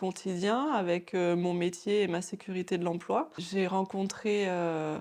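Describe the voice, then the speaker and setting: A woman at medium pitch, speaking very slowly with fairly even intonation against a quiet background. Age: 30s. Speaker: former pharmacy assistant turned nail technician. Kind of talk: interview. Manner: halting, many hesitations.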